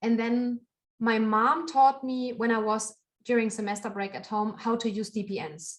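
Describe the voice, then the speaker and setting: In a German accent, a woman talks with a fairly high pitch. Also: ordinary pitch variation, moderate pace. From Germany. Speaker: knitter and podcaster. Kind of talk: interview conversation.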